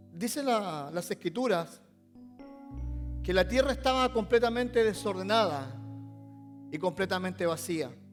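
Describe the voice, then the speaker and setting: With music in the background, a man talks in a high voice with lively intonation at a fairly slow pace, leaving long, frequent pauses. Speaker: pastor. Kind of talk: sermon monologue.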